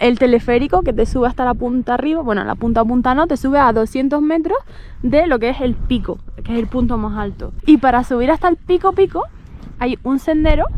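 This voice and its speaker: Over noticeable background noise, a woman talks at a fairly quick pace in a high voice with ordinary pitch variation. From Canary Islands, Gran Canaria. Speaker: travel vlogger. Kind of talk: casual chat.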